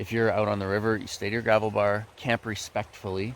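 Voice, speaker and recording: Mumbling from a man with a fairly low voice, fairly quick pace and fairly even intonation. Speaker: gold prospecting vlogger. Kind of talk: casual vlog narration. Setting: outdoors by a river.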